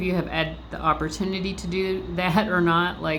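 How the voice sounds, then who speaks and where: A woman at a moderate pace, amid noticeable background noise and audible room echo. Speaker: tarot reader. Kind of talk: tarot reading. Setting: library. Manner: casual, filler-heavy.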